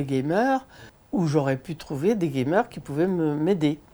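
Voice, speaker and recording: A woman speaks in a very deep, low pitch with a dark, mellow tone. Her pitch swings very widely, and her pace is fairly slow. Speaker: senior gamer. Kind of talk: interview. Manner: animated; hesitant with fillers.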